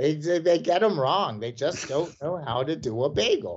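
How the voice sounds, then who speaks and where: A man's fairly high voice in a Mid-Atlantic American accent, with lively intonation at a moderate pace. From Washington, D.C. area (Silver Spring, Maryland). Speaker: professor of American studies. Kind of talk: casual interview.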